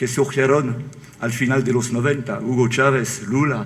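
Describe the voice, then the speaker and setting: Fairly slow delivery from a man, medium in pitch, its pitch variation ordinary. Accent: French. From France. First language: French (speaking Spanish). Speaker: author. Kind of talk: book presentation talk.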